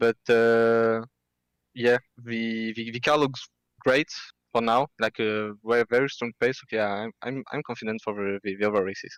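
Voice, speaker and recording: Recorded very cleanly against a silent background, the sound is dry and close with no echo. A man with a French accent speaks at a medium pitch and moderate pace in a monotone, flat intonation. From France. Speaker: sim racing driver. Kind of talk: post-race interview. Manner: halting, many fillers.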